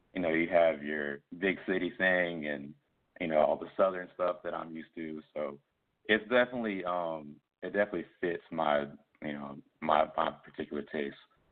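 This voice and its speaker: A man with an American accent speaks at a moderate pace in a very deep, low pitch. His pitch variation is ordinary, while his loudness swings widely. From US South, Columbia, South Carolina. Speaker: musician. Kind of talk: interview. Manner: casual.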